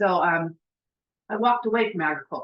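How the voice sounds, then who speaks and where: A woman speaks in an ordinary speaking voice at a medium pitch, with ordinary pitch variation. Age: 60s. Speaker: insurance agent. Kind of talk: testimony.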